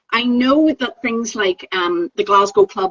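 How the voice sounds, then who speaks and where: Very wide pitch swings mark this fairly slow delivery in a Northern Irish accent. The sound is dry and close, with no echo. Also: woman. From Northern Ireland. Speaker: Pilates teacher trainer. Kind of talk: casual chat.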